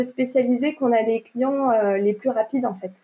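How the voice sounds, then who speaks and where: Her high-pitched voice has a dark, mellow tone, and the woman speaks with ordinary pitch variation. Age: 20s. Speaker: entrepreneurship coach. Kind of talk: podcast interview.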